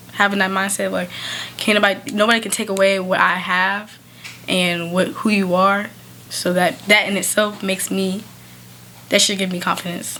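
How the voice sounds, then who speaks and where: The speaker talks at a moderate pace with long, frequent pauses, amid audible room echo and noticeable background noise. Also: woman, medium pitch for a woman. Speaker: podcast co-host. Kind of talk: casual podcast chat. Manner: loud; animated.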